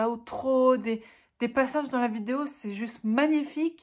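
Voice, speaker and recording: A woman speaks very slowly with a Swiss accent and ordinary pitch variation. The recording is very clean, with a silent background. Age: 20s. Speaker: book YouTuber. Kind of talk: casual talk to camera.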